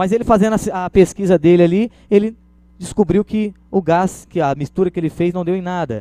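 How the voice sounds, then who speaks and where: A man speaks in a high pitch with a dark, mellow tone. His pitch variation is ordinary, and the sound is dry and close with no echo. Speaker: administration lecturer. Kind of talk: lecture. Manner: fast; animated.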